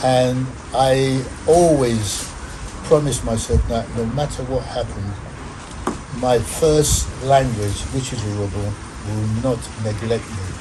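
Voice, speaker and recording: A man with a Nigerian accent speaks at a medium pitch and a fairly slow pace, with long, frequent pauses. Audible room echo and noticeable background noise surround him. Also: ordinary pitch variation. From Nigeria, Delta State. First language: Urhobo. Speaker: former footballer. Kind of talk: interview. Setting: studio.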